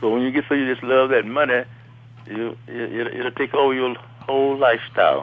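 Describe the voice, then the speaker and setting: With a Southern US accent, a man talks at a fairly quick pace and medium pitch. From US South, Alabama. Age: 70s. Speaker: retiree, father of host. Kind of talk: casual chat. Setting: phone call. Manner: animated.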